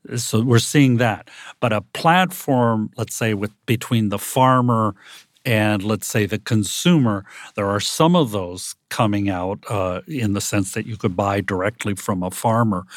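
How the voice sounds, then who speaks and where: A normal speaking voice with an American accent, ordinary pitch variation and a fairly slow pace, on a very clean recording with a silent background. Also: man, fairly low pitch for a man. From United States. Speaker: professor. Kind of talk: panel discussion. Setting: studio.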